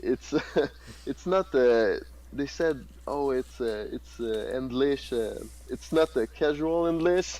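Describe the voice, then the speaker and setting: A man speaks very slowly in a Quebec accent. He leaves long, frequent pauses. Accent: Québécois French accent in English. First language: French. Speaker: contest winner. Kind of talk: casual chat. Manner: halting.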